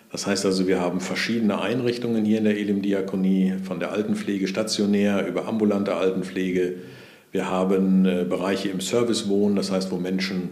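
In a very deep voice with a dark, mellow tone, a man speaks fairly quickly in a flat monotone, with audible room echo. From Sauerland, Germany, near the Ruhr area. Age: 60s. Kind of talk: interview conversation.

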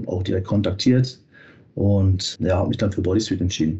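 The man's voice is somewhat breathy, and he talks at a fairly quick pace. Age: 30s. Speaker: fitness quality manager. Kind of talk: interview. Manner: hesitant fillers.

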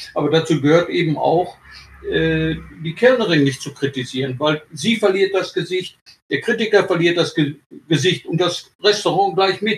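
At a fairly slow pace, a man talks in a high pitch. The pitch varies in an ordinary way. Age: 70s. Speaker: retired sports journalist. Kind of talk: interview.

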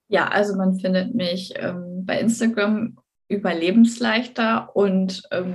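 A woman speaks at a medium pitch in a somewhat breathy voice. Her intonation stays fairly even. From northern Germany, Bremen. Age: 30s. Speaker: eating disorder recovery coach. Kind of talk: interview.

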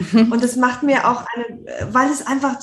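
Using an unremarkable speaking voice, a woman with a fairly high pitch speaks at a moderate pace. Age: 50s. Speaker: author and journalist. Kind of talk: interview.

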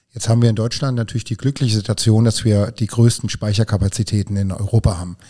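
Very fast, somewhat breathy speech in a dark, mellow tone, with fairly even intonation and a dry, close sound with no echo. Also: man. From Hunsrück, Rhineland-Palatinate, Germany. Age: 50s. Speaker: energy company spokesperson. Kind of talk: podcast interview.

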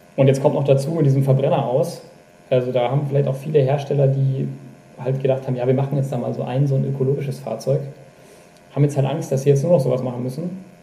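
Monotone, flat intonation at a very fast pace, broken by long, frequent pauses, with audible room echo and noticeable background noise. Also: man, medium pitch for a man. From Upper Bavaria, Germany. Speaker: magazine editor-in-chief. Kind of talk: casual chat. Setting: video call.

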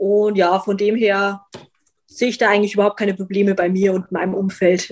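A woman speaks at a fairly quick pace in a medium pitch. Her intonation stays monotone and flat. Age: 20s. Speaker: vegan content creator and animal welfare activist. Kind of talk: casual interview.

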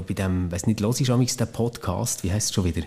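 A man's fairly low, dark, mellow voice with ordinary pitch variation. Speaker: former podcast co-host. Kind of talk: casual chat.

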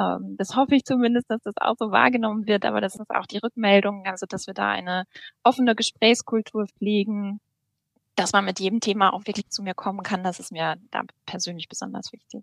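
This woman has an ordinary speaking voice, talking at a fairly quick pace with fairly even intonation in a dry, close sound with no echo. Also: medium pitch for a woman. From North Rhine-Westphalia, Germany. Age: 30s. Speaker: bank apprenticeship manager. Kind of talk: podcast interview.

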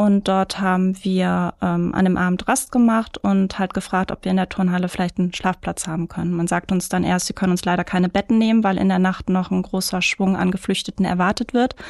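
A woman at medium pitch in a monotone, flat delivery at a fairly quick pace, with hardly any pauses, very even loudness and a very clean recording with a silent background. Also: dry, close sound with no echo. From Ruhr area, Germany (Mülheim). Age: 30s. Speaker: photographer and marketing manager. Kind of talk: interview.

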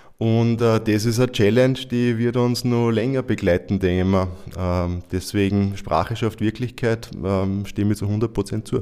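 This man talks at a fairly slow pace, his pitch fairly low and his tone dark and mellow. His intonation is fairly even, and his loudness stays very even. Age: 40s. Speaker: guest, father. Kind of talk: panel discussion.

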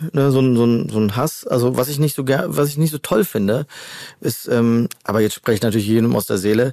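Speaking fairly quickly with a slight Cologne accent, a man uses a medium-pitched, dark, mellow tone with ordinary pitch variation and very even loudness. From Rhineland, Germany (Hennef). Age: 40s. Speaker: chef. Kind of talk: casual chat. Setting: studio.

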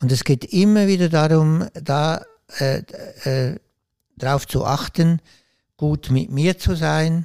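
Very slow and dark, mellow in tone, the voice has ordinary pitch variation on a very clean recording with a silent background and a dry, close sound with no echo. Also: man. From Switzerland. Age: 60s. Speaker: author and former priest. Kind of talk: interview.

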